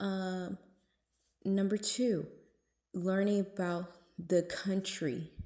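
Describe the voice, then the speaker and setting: Her dark, mellow tone sits at medium pitch, and the woman's intonation stays fairly even. She speaks at a very slow pace with long, frequent pauses. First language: Spanish and English. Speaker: lifestyle vlogger. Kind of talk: casual vlog talk. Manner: casual, many fillers.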